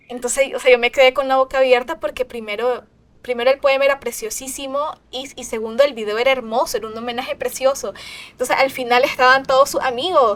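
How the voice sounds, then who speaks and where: A woman's very fast, high-pitched speech in a Nicaraguan accent, with fairly even intonation and big swings in loudness. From Nicaragua, Managua. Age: 20s. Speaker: singer-songwriter. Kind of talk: interview. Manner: halting.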